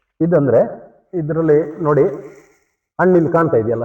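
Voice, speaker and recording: A man speaks at a fairly high pitch in a plain, everyday voice. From Malnad region, Karnataka, India. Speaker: farmer and homestay owner. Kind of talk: casual interview.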